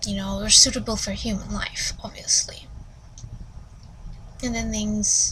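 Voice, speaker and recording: A woman speaks at a fairly slow pace with long, frequent pauses over noticeable background noise. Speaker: book reviewer. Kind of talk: casual book review. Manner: rambling with many fillers.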